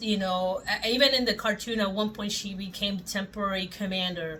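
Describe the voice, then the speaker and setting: In a Spanish accent, a woman with a fairly high pitch talks at a moderate pace with ordinary pitch variation. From Puerto Rico. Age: 40s. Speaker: toy collector YouTuber. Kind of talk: casual vlog chat.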